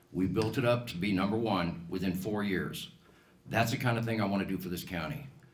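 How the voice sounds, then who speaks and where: A man with an American accent speaks at a fairly low pitch with ordinary pitch variation. Audible room echo surrounds his voice. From Colorado, US. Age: 60s. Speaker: political candidate, business owner. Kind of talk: campaign speech at candidate forum.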